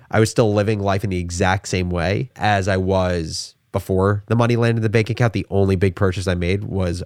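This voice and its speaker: This is a man with a normal speaking voice and an American accent, fairly low in pitch with ordinary pitch variation, talking at a fairly quick pace. The sound is dry and close with no echo, in a very clean recording with a silent background. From New Jersey. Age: 20s. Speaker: entrepreneur. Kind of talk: interview.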